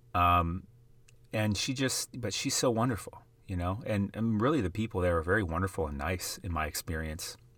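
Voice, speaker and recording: A man with an American accent has a normal speaking voice at a fairly low pitch, with ordinary pitch variation. The recording is very clean, with a silent background. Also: moderate pace. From US Midwest, South Dakota. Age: 30s. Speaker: sports card investing podcaster. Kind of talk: casual monologue.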